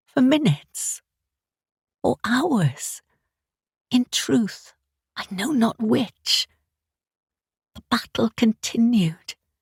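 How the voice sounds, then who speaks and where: A woman's fairly high voice with vocal fry and very wide pitch swings, at a very slow pace with long, frequent pauses, in a dry, close sound with no echo. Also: big swings in loudness. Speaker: audiobook narrator. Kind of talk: audiobook narration. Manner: first-person storytelling.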